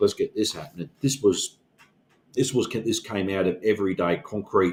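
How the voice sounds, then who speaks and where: A man's fairly low, somewhat breathy voice with lively intonation at a moderate pace. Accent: Australian. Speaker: union organizer and podcast co-host. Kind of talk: casual discussion. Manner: halting, many fillers.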